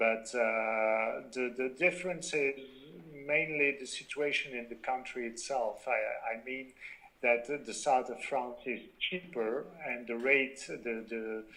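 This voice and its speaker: A man speaks very slowly with a French accent, his pitch medium and its variation ordinary. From Belgium. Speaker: company founder. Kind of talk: interview. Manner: halting, many fillers.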